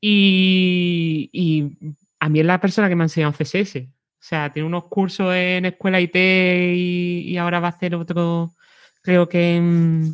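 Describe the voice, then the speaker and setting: In a Cádiz accent, a woman speaks flat and monotone at a fairly slow pace and fairly low pitch, the sound dry and close with no echo against a quiet background. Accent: Cádiz accent, kept. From Cádiz, Andalusia, Spain. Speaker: web designer. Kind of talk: interview conversation.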